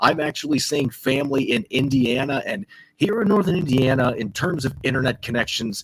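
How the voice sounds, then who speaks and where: A man speaks fairly quickly in a fairly high, somewhat breathy voice. His intonation is lively. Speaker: sports podcast host. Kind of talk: sports podcast discussion. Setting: remote recording while travelling.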